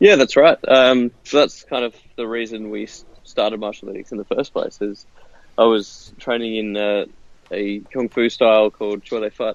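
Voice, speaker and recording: With a strong Australian accent, a man speaks at medium pitch and a moderate pace, his intonation fairly even, in a dry, close sound with no echo. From Western Australia. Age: 30s. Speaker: martial arts software founder. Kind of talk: interview. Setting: phone call, outdoors.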